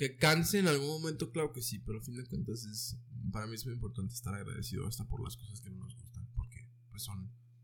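Speaking at a very fast pace, a man with a medium pitch uses ordinary pitch variation and vocal fry. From Mexico, Ciudad Juárez. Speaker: urban music artist. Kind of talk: casual chat.

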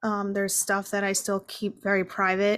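Talking at a fairly quick pace in an American accent, a woman uses an ordinary speaking voice at a medium pitch, captured in a very clean recording with a silent background. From New Jersey. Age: 30s. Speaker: author and mental health advocate. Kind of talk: interview.

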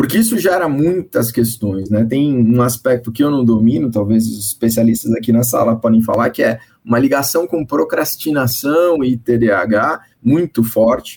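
A man talks in an ordinary speaking voice at a medium pitch and a moderate pace. His pitch variation is ordinary and his loudness very even. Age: 50s. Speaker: course director at advertising association. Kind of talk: panel discussion.

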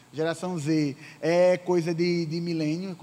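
A man with a high pitch. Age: 20s. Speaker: youth pastor. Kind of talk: sermon. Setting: church service.

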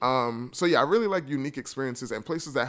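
A man with a New York accent, medium-pitched, very fast, and lively in intonation. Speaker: travel podcaster and blogger. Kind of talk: casual interview chat.

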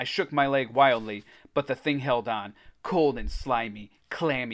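A natural voice reading aloud

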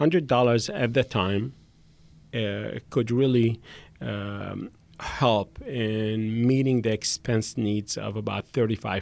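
On a very clean recording with a silent background, a man with an ordinary speaking voice talks at a fairly slow pace, in a fairly low pitch with ordinary pitch variation. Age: 50s. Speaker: hotel businessman and charity founder. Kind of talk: podcast interview.

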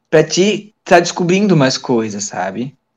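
At a very slow pace, a man speaks in a fairly high pitch with very wide pitch swings. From Santa Catarina, Brazil (Tijucas). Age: 20s. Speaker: lab technician. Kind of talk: casual interview. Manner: halting, many repetitions.

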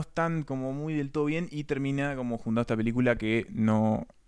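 A man with a Uruguayan accent talks at a fairly quick pace in a fairly high voice, on a very clean recording with a silent background. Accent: Uruguayan Spanish (Rioplatense). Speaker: film podcast co-host. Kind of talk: casual chat.

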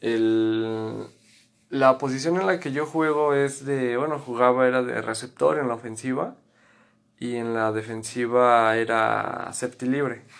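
A man with a normal speaking voice and a medium pitch speaks at a fairly slow pace with ordinary pitch variation. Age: 20s. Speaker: former American football player. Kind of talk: interview.

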